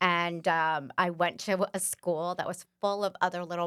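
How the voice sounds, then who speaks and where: A woman with a New York accent, medium pitch, bright sharp tone and fairly even intonation, at a fairly slow pace, in a dry, close, very clean recording with a silent background. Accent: New York area American. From northeast India, raised in Westchester, New York from age five. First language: Bengali. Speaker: former school board member. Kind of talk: casual interview.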